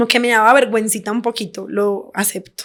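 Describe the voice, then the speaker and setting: A woman's fairly high voice in a Colombian accent, animated in tone, at a moderate pace. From Colombia, Medellín. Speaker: podcast guest, expat. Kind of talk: casual interview chat.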